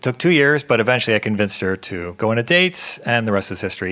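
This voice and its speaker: A man talks in an American accent, his pitch swinging very widely. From US Midwest, Ohio. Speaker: event moderator. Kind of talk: event introduction.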